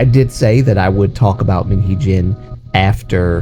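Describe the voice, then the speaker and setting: With music in the background, a man with a very deep, low pitch speaks at a fairly slow pace with lively intonation. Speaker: K-pop news commentator. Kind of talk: casual talk to camera. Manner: casual, chatty.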